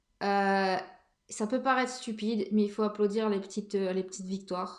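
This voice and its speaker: A woman with a medium pitch talks at a moderate pace in a monotone, flat intonation. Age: 30s. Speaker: podcast host. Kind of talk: casual monologue. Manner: hesitant, many fillers.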